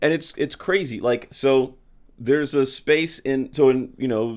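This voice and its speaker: On a very clean recording with a silent background, a man with a Midwestern American accent speaks with ordinary pitch variation. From St. Louis, Missouri. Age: middle-aged. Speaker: stand-up comedian and comedy show producer. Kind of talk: casual chat. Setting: in his home.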